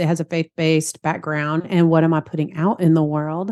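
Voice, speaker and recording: In a Southern accent, a woman speaks in a fairly low pitch. The sound is dry and close with no echo. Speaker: therapist and practice consultant. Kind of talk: podcast interview.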